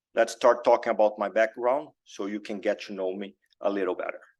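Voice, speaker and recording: A man with a Brazilian accent at a moderate pace against a quiet background. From Brazil, Belo Horizonte. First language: Portuguese. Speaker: cardiac surgeon. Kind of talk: lecture. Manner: halting, many fillers.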